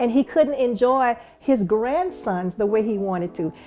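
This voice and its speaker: In a Louisiana accent, a woman speaks at a fairly slow pace. Her voice is fairly high in pitch, with a dark, mellow tone. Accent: Southern US, Louisiana. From US South, rural Louisiana. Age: 60s. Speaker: stroke survivor's daughter sharing story. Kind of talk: testimony. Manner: halting, many repetitions.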